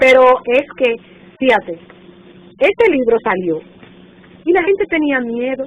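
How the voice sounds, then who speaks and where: In a Dominican accent, a woman speaks at a high pitch with very wide pitch swings, moving at a fairly slow pace with long, frequent pauses. Noticeable background noise is present. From Dominican Republic, northern coast (Montecristi/Puerto Plata). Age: 60s. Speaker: retired teacher and textbook author. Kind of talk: oral history interview. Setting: national archive office.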